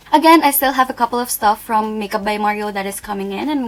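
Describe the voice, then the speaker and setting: Over noticeable background noise, a woman with a non-native accent talks at a very fast pace in a fairly high voice with ordinary pitch variation. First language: not English. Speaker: beauty youtuber. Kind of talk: product review. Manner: casual, hesitant.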